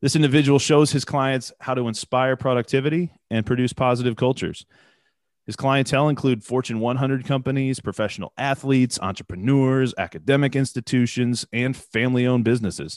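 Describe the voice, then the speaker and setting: A man speaks at a medium pitch, the sound dry and close with no echo. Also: fairly even intonation, quiet background. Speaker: podcast host. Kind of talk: interview.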